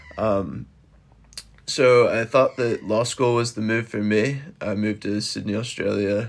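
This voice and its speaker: A man with an American accent and an ordinary speaking voice, fairly low in pitch, with fairly even intonation. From US. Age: 20s. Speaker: podcaster with bipolar disorder. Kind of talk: casual interview.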